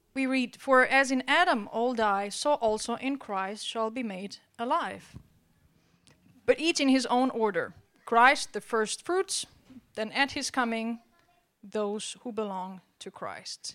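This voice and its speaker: On a very clean recording with a silent background, a woman talks at a fairly high pitch. She goes at a very slow pace with long, frequent pauses. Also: ordinary pitch variation. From Albania. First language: Albanian (speaking Danish). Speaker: preacher. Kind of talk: sermon.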